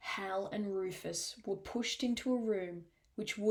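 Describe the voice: Simple, plain reading aloud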